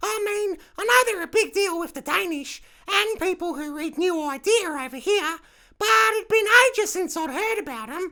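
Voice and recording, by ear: A put-on character voice at an extremely high pitch, delivered at a moderate pace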